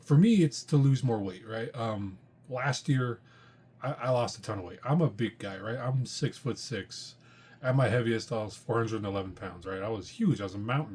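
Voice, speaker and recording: This man's voice sits at a medium pitch, somewhat breathy, with ordinary pitch variation and a moderate pace. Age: 40s. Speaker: comic book podcast host. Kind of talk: casual monologue. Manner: hesitant with frequent fillers.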